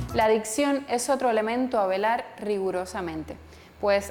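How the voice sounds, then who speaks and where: At a moderate pace, a woman speaks in an unremarkable speaking voice, fairly high in pitch with ordinary pitch variation. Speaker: journalist and photographer. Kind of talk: online course lecture to camera.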